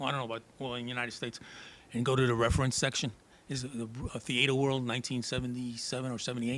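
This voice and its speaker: A man with a New York accent at a medium pitch, with monotone, flat intonation and a very fast pace. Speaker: drummer and actor. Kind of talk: interview. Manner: halting.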